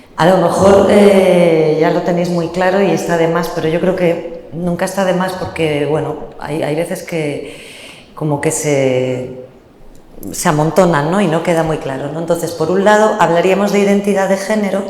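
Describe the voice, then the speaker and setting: At a moderate pace, a woman with a fairly low voice and fairly even intonation speaks amid audible room echo and noticeable background noise. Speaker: panelist on motherhood and queer families. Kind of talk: panel talk. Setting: venue with live audience. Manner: hesitant fillers.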